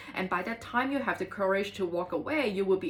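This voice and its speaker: Over music in the background, a woman talks at a medium pitch with lively intonation. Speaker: tarot reader. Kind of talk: tarot reading. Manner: fast; hesitant with many fillers.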